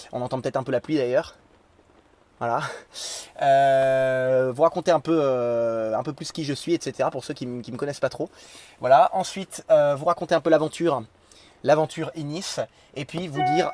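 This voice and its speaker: A man talks at a moderate pace with long, frequent pauses, a fairly high pitch, ordinary pitch variation and big swings in loudness, the sound dry and close with no echo. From France, Lorraine (Nancy). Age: 20s. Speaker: religious YouTuber. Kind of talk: spontaneous vlog monologue. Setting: in a tent. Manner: hesitant, many fillers.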